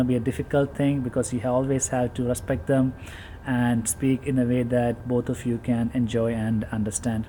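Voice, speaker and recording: A man with a Keralan accent speaks at a moderate pace and medium pitch, with fairly even intonation. Noticeable background noise can be heard. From India, Kerala. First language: Malayalam. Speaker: vlogger, teacher. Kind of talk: casual vlog talk.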